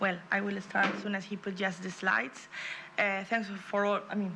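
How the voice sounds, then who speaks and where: There is noticeable background noise and audible room echo. A woman with a Spanish accent talks at a medium pitch and a fairly quick pace. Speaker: regional politician. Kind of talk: conference presentation. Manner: fast; halting.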